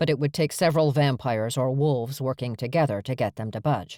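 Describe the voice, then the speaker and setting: In a very clean recording with a silent background, a man puts on a gruff character voice at a medium pitch and rattles along at a very fast pace. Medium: read story. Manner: gruff, terse.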